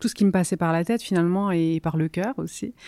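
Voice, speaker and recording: A woman's fairly low, dark, mellow voice on a very clean recording over a silent background. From southern Italy (Campania, near Salerno). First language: Italian (speaking French). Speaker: novelist. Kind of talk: interview. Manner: hesitant, many fillers.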